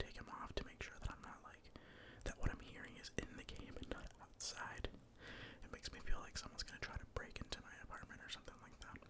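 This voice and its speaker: The whispering moves along at a fairly quick pace. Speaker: ASMR content creator. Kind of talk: ASMR gaming commentary. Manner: whispered.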